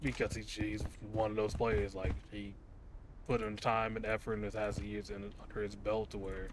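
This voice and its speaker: Noticeable background noise under a fast-ish, fairly low male voice at a fairly quick pace. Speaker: gaming YouTuber. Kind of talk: casual gameplay commentary. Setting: home recording with microphone. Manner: calm, unexcitable.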